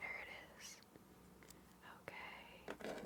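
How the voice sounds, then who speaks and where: Whispering in a calm tone, the speaker talks quietly. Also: woman. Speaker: ASMR content creator. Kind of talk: ASMR LEGO building narration. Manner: soft-spoken, whispered, calm.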